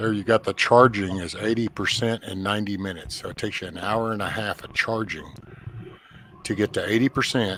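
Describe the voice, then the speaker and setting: The speaker has a normal speaking voice and talks at a fairly quick pace with fairly even intonation. Loudness shifts in big swings. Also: man, fairly low pitch for a man. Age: 50s. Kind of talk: casual chat.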